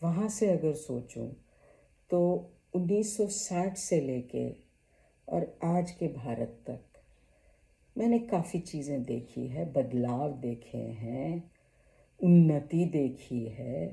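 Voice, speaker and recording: A woman's dark, mellow voice with vocal fry, very wide pitch swings, and long, frequent pauses. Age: 70s. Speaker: YouTuber. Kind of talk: personal vlog talk.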